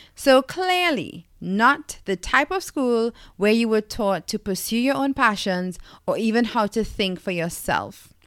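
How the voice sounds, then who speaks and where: Fairly slow speech with very wide pitch swings comes through a very clean recording, dry and close with no echo and a silent background. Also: woman, fairly high pitch for a woman. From Trinidad and Tobago. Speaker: podcast host, lifestyle coach. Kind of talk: solo monologue podcast.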